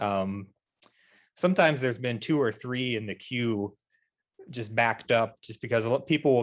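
Over a quiet background, a man talks at a moderate pace and medium pitch in an ordinary speaking voice. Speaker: committee chair and percussion teacher. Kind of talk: panel discussion. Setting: video call.

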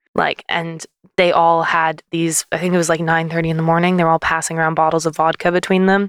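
Speaking with a Canadian accent, a woman keeps a monotone, flat intonation and very even loudness in a very clean recording with a silent background. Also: fairly low pitch for a woman, fairly quick pace, dry, close sound with no echo. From Canada. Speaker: singer-songwriter, label co-director. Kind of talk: casual chat. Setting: basement studio.

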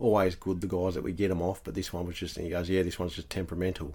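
A man talks at a very fast pace with an Australian accent. His very deep, low voice has a dark, mellow tone. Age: 30s. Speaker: house painter. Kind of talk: casual chat.

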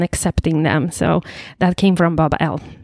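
A woman speaks with a Polish accent. The sound is dry and close, with no echo. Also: very clean recording, silent background. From Poland. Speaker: recovering alcoholic sharing her story. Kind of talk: testimony.

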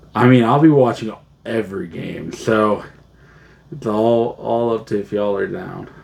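With lively intonation, a man talks through noticeable background noise. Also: medium pitch for a man, moderate pace. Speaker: podcast co-host. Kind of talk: casual chat.

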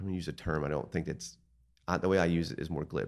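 With a very deep, low pitch and vocal fry, a man speaks in an American accent against a quiet background. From eastern Pennsylvania, Lehigh Valley. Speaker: art gallery owner. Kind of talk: casual interview.

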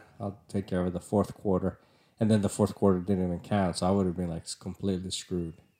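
Talking at a very fast pace, a man with a Spanish accent has a very deep, low pitch and a dark, mellow tone. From Nicaragua. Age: 30s. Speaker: podcast host, civil engineer. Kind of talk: casual chat.

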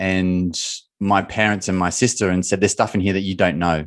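A man's fairly low-pitched voice against a quiet background. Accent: Australian. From Australia. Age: 30s. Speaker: mindset coach and former footballer. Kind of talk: casual interview.

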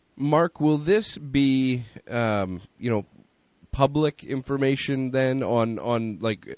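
A man talks in an ordinary speaking voice at medium pitch with ordinary pitch variation. The sound is dry and close, with no echo. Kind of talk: relaxed radio co-host chat, analysis. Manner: conversational, chatty, with fillers.

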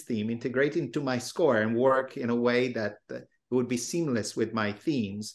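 A man at medium pitch and moderate pace, in an Italian accent with ordinary pitch variation, against a quiet background. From Italy. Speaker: film composer. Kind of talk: panel discussion.

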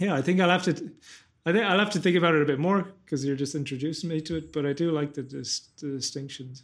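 In a very clean recording with a silent background, the pitch moves with ordinary variation. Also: man. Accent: Irish. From west of Ireland. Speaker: podcast host, cognitive scientist and philosopher. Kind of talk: casual interview conversation.

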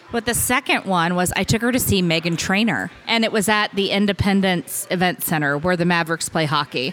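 Speaking at a fairly quick pace with hardly any pauses, a woman has a Midwestern American accent and a medium pitch. Her loudness stays very even, and her pitch varies in an ordinary way. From Kansas, Hutchinson. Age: 40s. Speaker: podcast guest. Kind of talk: casual chat.

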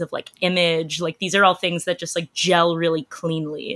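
A woman with a Canadian accent speaks at a moderate pace in a fairly low, bright, sharp voice. Her intonation is monotone and flat, and the sound is dry and close with no echo. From Canada. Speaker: entertainment journalist. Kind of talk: casual chat.

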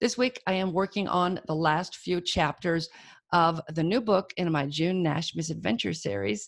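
With an American accent, a woman speaks at a moderate pace in a fairly low pitch, with lively intonation, vocal fry and a quiet background. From Alabama. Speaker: podcast host and indie author. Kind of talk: podcast host chat and intro. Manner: casual, chatty.

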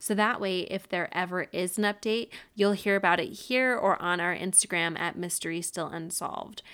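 A woman's bright, sharp voice with an American accent, medium pitch and fairly even intonation, at a moderate pace with hardly any pauses, on a very clean recording with a silent background. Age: 30s. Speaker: true crime podcast host. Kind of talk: casual storytelling monologue. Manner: casual, laughs often.

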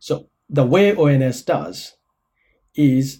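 A fairly high-pitched, somewhat breathy male voice with a dark, mellow tone and lively intonation. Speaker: epidemiologist, statistics expert. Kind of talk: interview explanation.

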